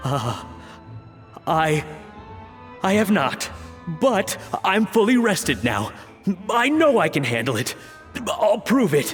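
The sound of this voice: A man puts on a character voice, high-pitched and fairly bright, with big pitch swings and a slow pace. Faint music plays in the background.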